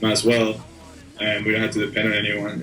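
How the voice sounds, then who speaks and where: A man with a Spanish accent talks at a very fast pace in a monotone, flat intonation, with noticeable background noise and audible room echo. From Argentina, then South Florida from sixth grade. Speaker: rock drummer. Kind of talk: casual interview. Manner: casual, hesitant with fillers.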